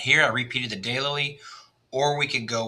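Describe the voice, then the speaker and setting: Man in a Texas accent, moderate pace, fairly even intonation. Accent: Texas twang. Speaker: landscape designer. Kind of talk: design walkthrough for a client. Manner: casual, with frequent fillers.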